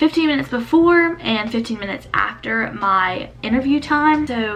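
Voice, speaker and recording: A woman speaks at a moderate pace with lively intonation. Noticeable background noise runs behind her. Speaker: college program applicant. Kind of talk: casual talk to camera.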